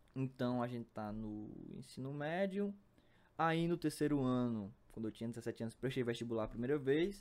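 A man's medium-pitched voice carries lively intonation as he proceeds at a moderate tempo. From Brazil, Piauí (Picos). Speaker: math student, podcaster. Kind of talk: casual monologue. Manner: halting.

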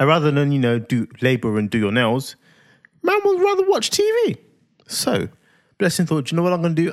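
In a London accent, the speaker uses a playful tone at a fairly quick pace, with very even loudness and long, frequent pauses. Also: man. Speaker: podcast co-host and parent. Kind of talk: casual chat.

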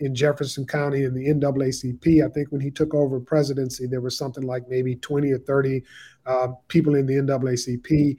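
With an American accent, a man speaks at a moderate pace in a fairly high, somewhat breathy voice. His intonation is monotone and flat. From Southeast Texas (Beaumont). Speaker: family historian, son of civil rights attorney. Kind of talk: interview.

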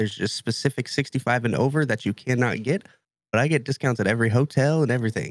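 A man talks at a medium pitch. The sound is dry and close with no echo. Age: 20s. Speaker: podcast co-host. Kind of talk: casual chat.

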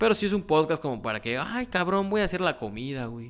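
A man with a Mexican accent talks at a very fast pace in an animated tone with lively intonation. The recording is very clean, with a silent background. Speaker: podcast host. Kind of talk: casual chat. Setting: home recording. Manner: casual, natural unforced voice.

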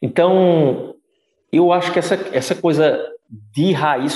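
Talking at a fairly slow pace, a man has a high pitch. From Brazil, Pernambuco interior (Caruaru). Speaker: physiotherapist and Pilates teacher. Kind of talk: casual interview chat.

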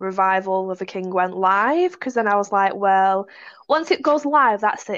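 An ordinary speaking voice from a woman, medium in pitch, at a moderate pace against a quiet background. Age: 30s. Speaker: novelist. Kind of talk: casual chat.

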